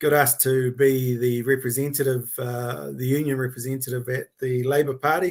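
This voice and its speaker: A man speaks at a moderate pace with hardly any pauses. His intonation is monotone and flat. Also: medium pitch for a man. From New Zealand, South Auckland (Otara). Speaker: workplace rights consultant. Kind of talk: casual interview. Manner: halting, many fillers.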